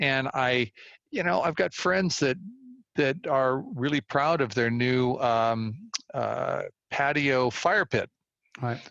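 With a Californian accent, the speech moves at a very slow pace with long, frequent pauses. The sound is dry and close with no echo, and the pitch variation is ordinary. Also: man, fairly high pitch for a man. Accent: Californian American. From US West Coast, Walnut Creek, California. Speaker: environmental philanthropist and community organizer. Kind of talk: interview conversation. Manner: halting, many fillers and repeated words.

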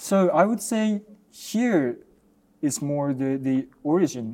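Very slow delivery in a Japanese accent, dark and mellow in tone, broken by long, frequent pauses, with very wide swings in pitch. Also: man. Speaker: ballet dancer. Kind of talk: interview. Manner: halting.

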